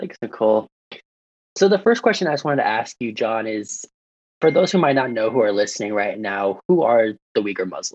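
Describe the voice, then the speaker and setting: A man's unremarkable speaking voice in an American accent, medium in pitch, fairly quick, with lively intonation. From US military town. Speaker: student podcast host. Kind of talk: casual podcast chat.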